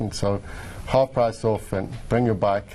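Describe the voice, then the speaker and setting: A man with a South African accent at a moderate pace, with fairly even intonation and noticeable background noise. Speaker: distillery owner. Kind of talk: TV interview.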